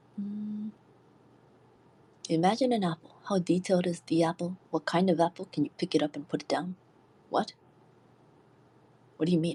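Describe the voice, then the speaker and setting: A somewhat breathy voice with a dark, mellow tone and a nervous tone moves at a moderate pace with long, frequent pauses, in a dry, close sound with no echo. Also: woman, fairly low pitch for a woman, ordinary pitch variation. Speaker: livestreamer. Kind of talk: casual livestream chat reading comments. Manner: sounds nervous.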